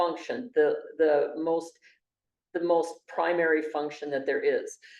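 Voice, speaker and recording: Speaking at a moderate pace with a Montana accent, a woman with a fairly low pitch is heard in a room with audible echo. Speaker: university lecturer. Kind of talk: lecture. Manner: halting, many fillers.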